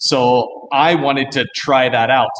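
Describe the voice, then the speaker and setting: A man speaks with an American accent over light background noise. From US. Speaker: distillery founder; guest. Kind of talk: casual live-stream interview.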